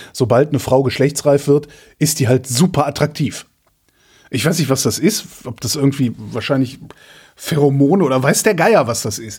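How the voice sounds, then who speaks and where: A man with a fairly high pitch and a somewhat breathy sound speaks at a moderate pace. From Rhineland, Germany. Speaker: podcast host. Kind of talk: casual chat.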